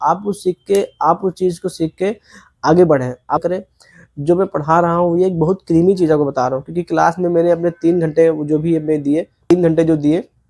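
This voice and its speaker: The sound is dry and close with no echo as a man speaks at a moderate pace. His voice is high-pitched with a dark, mellow tone and fairly even intonation. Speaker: import-export student vlogger. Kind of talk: vlog tutorial. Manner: halting.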